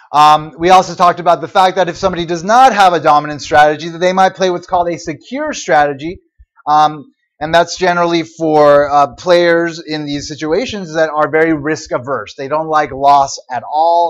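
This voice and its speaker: A man speaks at a fairly high pitch and a moderate pace. He has an unremarkable speaking voice with ordinary pitch variation. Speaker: university economics lecturer. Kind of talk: lecture.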